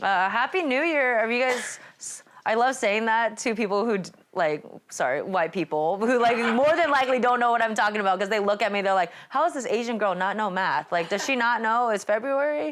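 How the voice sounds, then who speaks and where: A woman's fairly high voice with a Californian accent, lively intonation and a fairly quick pace. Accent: Californian American English. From California, Sacramento. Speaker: stand-up comedian. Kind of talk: stand-up. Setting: performing in someone's home with small audience.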